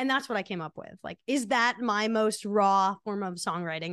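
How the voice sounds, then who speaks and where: An unremarkable speaking voice moves at a fairly quick pace with lively intonation. The sound is dry and close with no echo, over a quiet background. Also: woman. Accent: American. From New Jersey, Monmouth County. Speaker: singer-songwriter. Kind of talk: casual interview.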